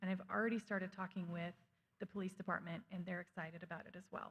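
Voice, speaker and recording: A woman talks at a very fast pace and medium pitch. Her voice is somewhat breathy. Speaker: school district administrator presenting budget. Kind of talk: budget presentation at school board meeting. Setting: school board meeting.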